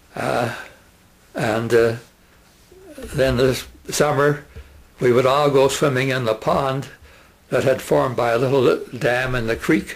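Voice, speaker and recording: A man talks at a fairly slow pace with medium pitch and fairly even intonation. He leaves long, frequent pauses, and there is noticeable background noise. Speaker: retired teacher. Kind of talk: oral history reminiscence. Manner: halting, many fillers.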